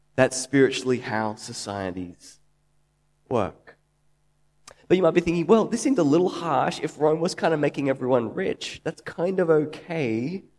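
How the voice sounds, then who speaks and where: A man with an Australian accent, fairly high-pitched, with lively intonation at a moderate pace. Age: 30s. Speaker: preacher. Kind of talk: sermon.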